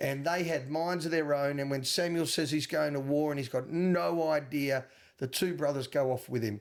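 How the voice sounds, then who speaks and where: An Australian-accented man's fairly high voice at a moderate pace, with ordinary pitch variation, on a very clean recording with a silent background. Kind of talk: movie podcast co-host. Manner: defensive, earnest.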